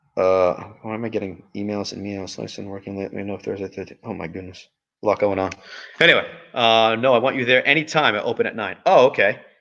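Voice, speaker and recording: A man with a fairly low pitch talks at a very fast pace, his tone bright and sharp. His loudness swings widely, with ordinary pitch variation. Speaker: live stream host. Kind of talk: casual live stream chat. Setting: live stream from a performing arts venue.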